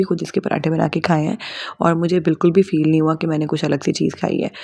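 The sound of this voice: At a fairly quick pace, a woman talks with a fairly low pitch, a dark, mellow tone and vocal fry.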